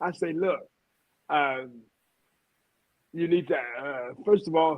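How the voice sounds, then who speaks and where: A man with a Louisiana accent speaks at a very slow pace. His pitch is fairly high, with ordinary pitch variation. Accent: Southern US (Louisiana). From Louisiana, US South. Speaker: radio host. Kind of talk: interview.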